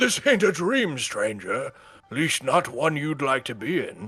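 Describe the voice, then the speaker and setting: A man puts on a character voice, fairly high in pitch, at a fairly slow pace. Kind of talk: rough, colloquial. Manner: gruff, stern.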